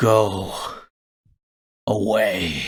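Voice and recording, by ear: A man puts on a character voice. It is raspy and fairly low in pitch.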